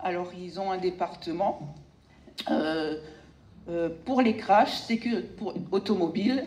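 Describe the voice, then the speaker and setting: A woman's medium-pitched voice with an Alsatian accent, very slow with long, frequent pauses and ordinary pitch variation, amid noticeable background noise. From Alsace, France. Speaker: sculptor. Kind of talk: speech to audience.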